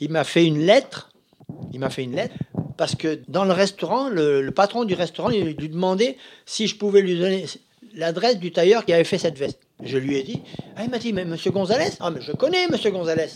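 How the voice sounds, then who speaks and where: A man's high voice, full of lively intonation, moves at a fairly quick pace. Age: 80s+. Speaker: master tailor. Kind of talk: interview.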